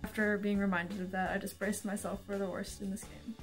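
Quietly, a woman speaks at a fairly high pitch in a monotone, flat intonation while music plays in the background. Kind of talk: casual talk to camera.

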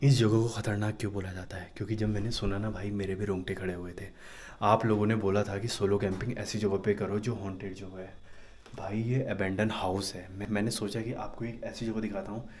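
The speech moves at a moderate pace with a monotone, flat intonation. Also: man, fairly low pitch for a man. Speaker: camping vlogger. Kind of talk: casual vlog chat. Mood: nervous, hushed storytelling. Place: empty room. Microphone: phone near.

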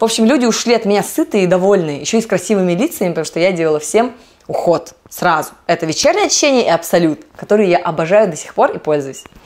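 A woman at medium pitch talks at a very fast pace with lively intonation. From Vladivostok, Russian Far East. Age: 30s. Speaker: network marketing distributor. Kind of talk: casual talk to camera. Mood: upbeat, animated. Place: home room. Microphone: lapel.

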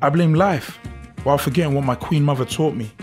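A man at medium pitch with ordinary pitch variation, over music in the background. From South London. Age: 20s. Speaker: spoken word poet. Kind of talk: spoken word poetry.

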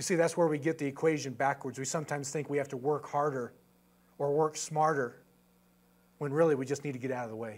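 Very fast delivery broken by long, frequent pauses. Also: man, fairly high pitch for a man. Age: 50s. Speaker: missionary. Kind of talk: sermon. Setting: church. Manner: animated. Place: church.

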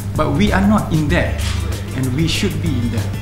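Clear music plays behind a man's voice. He talks at a fairly quick pace. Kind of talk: interview answer. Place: hall. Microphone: podium.

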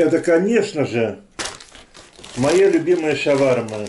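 A man speaks very slowly with lively intonation. Light background noise is present. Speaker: food vlogger. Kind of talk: casual vlog chat. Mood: cheerful, friendly. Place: kitchen. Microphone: phone near.

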